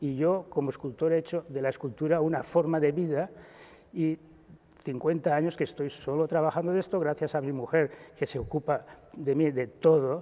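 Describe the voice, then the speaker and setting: Fairly even intonation carries a dark, mellow tone throughout. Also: man, fairly high pitch for a man, moderate pace. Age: 70s. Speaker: sculptor. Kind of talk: interview. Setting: exhibition in a chapel. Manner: halting.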